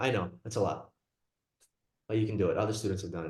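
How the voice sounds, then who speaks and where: Audible room echo around a man's somewhat breathy voice. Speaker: psychiatry lecturer, nurse practitioner. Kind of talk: lecture. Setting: video call. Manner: fast.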